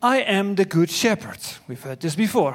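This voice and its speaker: This man speaks with a Dutch accent. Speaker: preacher. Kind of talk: sermon. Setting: church.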